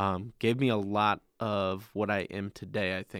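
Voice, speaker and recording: A man speaks in a flat monotone at a fairly low pitch. The recording is very clean with a silent background. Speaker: camp staff member. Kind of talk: casual chat. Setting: studio.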